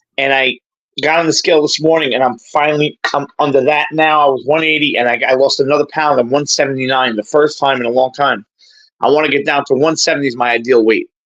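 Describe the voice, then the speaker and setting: Talking at a very fast pace, a man uses a New York accent. His voice is fairly high-pitched with fairly even intonation. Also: very even loudness. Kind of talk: casual chat.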